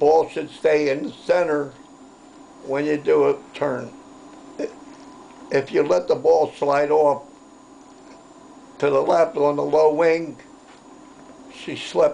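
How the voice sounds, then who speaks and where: A very slow pace, fairly even intonation and long, frequent pauses. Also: man, fairly high pitch for a man. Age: 80s+. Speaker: war veteran. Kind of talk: interview storytelling.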